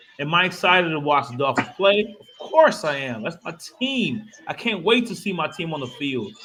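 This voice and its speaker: The delivery is animated, with very wide pitch swings and big swings in loudness at a moderate pace. Noticeable background noise sits behind it. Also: man, high pitch for a man. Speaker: sports podcast co-host. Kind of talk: casual sports chat.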